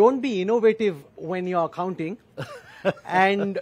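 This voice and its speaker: This man has a high voice, speaking at a fairly slow pace with ordinary pitch variation. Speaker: event host, interviewer. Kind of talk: speaker introduction. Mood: warm, admiring, light laughs. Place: hall. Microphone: headset.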